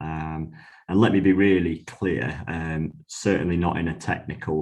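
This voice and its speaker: Fairly slow, fairly even speech from a man with a very deep, low pitch. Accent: northern English. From northwest England. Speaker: IT director. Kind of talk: podcast interview. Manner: hesitant, many fillers.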